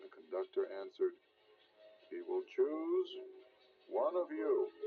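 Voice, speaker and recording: With music in the background, a man talks very slowly. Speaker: audiobook narrator. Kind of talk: children's storybook reading. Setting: old cassette recording.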